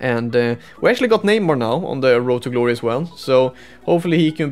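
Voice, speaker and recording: With music in the background, a man speaks very fast in a Swedish accent, his intonation lively. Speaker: esports gamer and YouTuber. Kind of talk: gameplay commentary recap. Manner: halting, many fillers.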